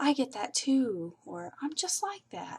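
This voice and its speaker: A woman speaks with a somewhat breathy voice. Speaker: vlogger with multiple sclerosis. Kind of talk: personal testimony vlog. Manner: halting.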